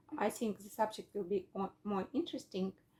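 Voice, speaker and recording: A woman's dark, mellow, medium-pitched voice in a Russian accent at a fairly slow pace. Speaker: English learner. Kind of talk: casual lesson chat. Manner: halting.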